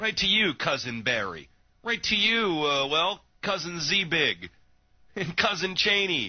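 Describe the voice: A man speaks slowly at a fairly high pitch with big pitch swings. His tone is bright and sharp.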